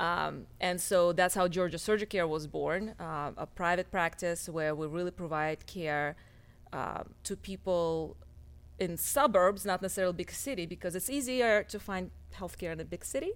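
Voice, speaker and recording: A woman with a Russian accent, fairly low pitch, moderate pace and ordinary pitch variation. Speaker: cosmetic surgeon. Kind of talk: casual interview chat.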